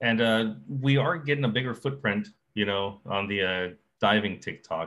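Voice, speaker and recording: A man speaks in an ordinary speaking voice with a fairly low pitch. He keeps a moderate pace and ordinary pitch variation. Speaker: podcast host, scuba diver. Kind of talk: casual chat, update episode. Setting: live stream on TikTok. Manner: casual, joking.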